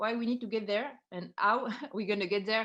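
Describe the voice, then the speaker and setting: A woman with a French accent, at a medium pitch and moderate pace, against a quiet background. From France. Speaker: startup co-founder. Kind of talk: pitch presentation.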